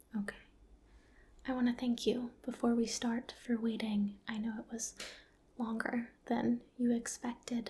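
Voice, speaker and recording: A woman speaks softly at a fairly slow pace. Her tone is gentle. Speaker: ASMR roleplay doctor. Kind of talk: ASMR medical roleplay exam, personal attention. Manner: soft-spoken, gentle.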